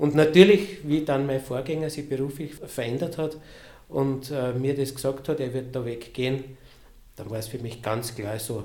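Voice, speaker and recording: Recorded with audible room echo, a man's somewhat breathy voice has a dark, mellow tone, ordinary pitch variation, and a fairly slow pace. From Lower Austria. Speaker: cathedral sacristy director. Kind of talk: casual interview. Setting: office near the cathedral.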